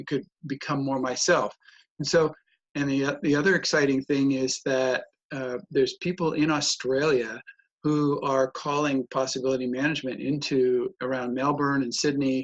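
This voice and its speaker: Delivered at a moderate pace with monotone, flat intonation, the voice carries an American accent. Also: man, fairly high pitch for a man. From United States. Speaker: personal development trainer and author. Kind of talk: casual interview conversation.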